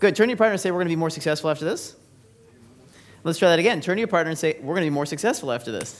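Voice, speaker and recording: Energetic in tone, the speaker talks at a very fast pace with a Californian accent. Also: man, high pitch for a man, ordinary pitch variation. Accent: Californian American. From US West Coast, San Francisco Bay Area. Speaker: business speaker. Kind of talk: seminar presentation. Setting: stage with audience. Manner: energetic, interactive.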